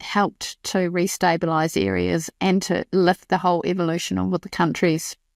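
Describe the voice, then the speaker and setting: A woman at a moderate pace, on a very clean recording with a silent background and a dry, close sound with no echo. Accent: New Zealand. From New Zealand. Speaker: podcast host. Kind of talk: scripted narration.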